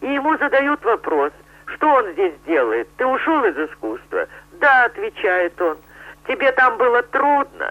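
A woman's high-pitched voice at a fairly slow pace, with very wide pitch swings. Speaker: circus animal trainer. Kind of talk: interview.

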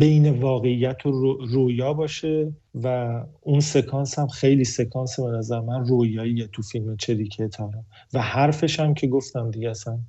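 A man speaks in a somewhat breathy voice at a moderate pace. His intonation stays fairly even. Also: medium pitch for a man. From Iran. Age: 30s. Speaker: film director. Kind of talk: interview.

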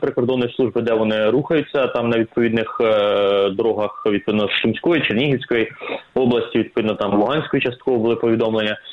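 Speaking at a medium pitch with ordinary pitch variation, the man has an unremarkable speaking voice. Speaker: military expert. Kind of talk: expert interview.

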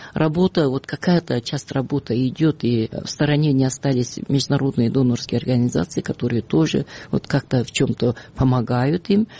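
Speaking at a moderate pace, a woman has a very deep, low pitch and ordinary pitch variation. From Kyrgyzstan. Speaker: human rights activist. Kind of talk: radio interview. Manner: halting, many fillers.

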